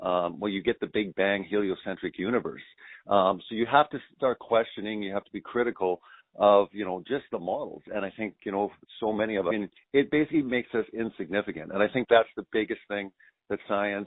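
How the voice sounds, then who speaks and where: A man's fairly low, fairly quick voice with ordinary pitch variation and big swings in loudness, a normal speaking voice. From Canada. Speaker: documentary filmmaker. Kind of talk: radio interview.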